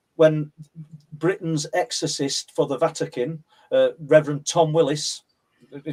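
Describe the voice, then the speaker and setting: A man's fairly high, monotone voice in a Yorkshire accent, with flat intonation, a fairly slow pace and long, frequent pauses. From northern England, South Yorkshire (Mexborough area). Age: 60s. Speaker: paranormal researcher and author. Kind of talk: interview, personal testimony.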